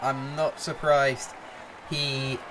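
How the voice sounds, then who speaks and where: Crowd noise fills the background as a man talks at a fairly high pitch. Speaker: gaming streamer. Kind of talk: live commentary. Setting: live stream. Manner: loud.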